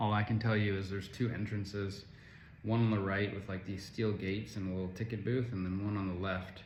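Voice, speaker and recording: In a room with audible echo, a man with an American accent speaks fairly quickly in a monotone, flat, somewhat breathy voice at a fairly low pitch. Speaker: travel vlogger. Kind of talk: casual travel review vlog. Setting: self-recorded on camera.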